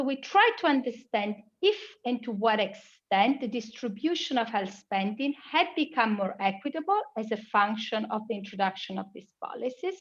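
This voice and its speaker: In an Italian accent, a woman speaks with lively intonation and a fairly high pitch. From Italy. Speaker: global health researcher. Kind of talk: conference presentation.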